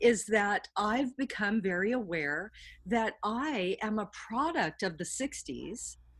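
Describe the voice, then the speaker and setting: Somewhat breathy woman with lively intonation on a very clean recording with a silent background. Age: 60s. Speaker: artist and educator. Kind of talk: interview.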